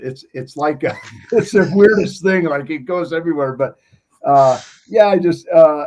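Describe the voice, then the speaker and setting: This man has a normal speaking voice, fairly high in pitch, with an American accent, ordinary pitch variation and a moderate pace. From Montana. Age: 60s. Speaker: former TV competition athlete. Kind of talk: interview.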